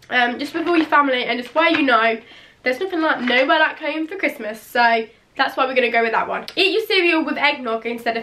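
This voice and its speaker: Projecting her raised voice, a woman with an English accent speaks fairly quickly at a high pitch, with a bright, sharp tone and lively intonation. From England. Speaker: beauty and lifestyle vlogger. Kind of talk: casual vlog talk. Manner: chatty with many fillers. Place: home room.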